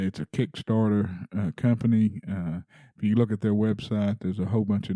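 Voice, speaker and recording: A man speaks at a fairly quick pace with a fairly low pitch, a dark, mellow tone, and an American accent. His intonation stays monotone and flat, and the very clean recording is dry and close, with no echo and a silent background. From Texas. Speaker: podcast host. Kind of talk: casual monologue; casual interview. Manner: halting, many fillers.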